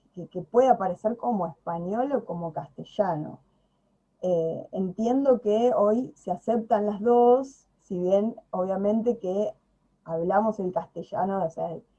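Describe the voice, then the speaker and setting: A woman with a Buenos Aires accent speaks very slowly in a dark, mellow tone, with big swings in loudness. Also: medium pitch for a woman, ordinary pitch variation. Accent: Rioplatense Spanish (Buenos Aires). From Buenos Aires province, Argentina. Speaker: video channel host, Spanish speaker. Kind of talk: casual conversation. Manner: hesitant, many fillers.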